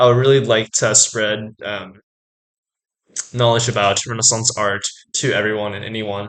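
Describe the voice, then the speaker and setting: Speech moves along at a moderate pace. Its tone comes across bright and sharp. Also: man. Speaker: art student YouTuber. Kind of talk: casual educational vlog. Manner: many filler words, hesitant.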